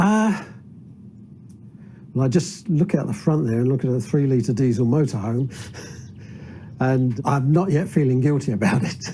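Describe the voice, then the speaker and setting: Somewhat breathy and dark, mellow in tone, this voice moves at a moderate pace with lively intonation. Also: man. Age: 70s. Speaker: citizens' assembly member, retired aircraft refueller. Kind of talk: documentary interview.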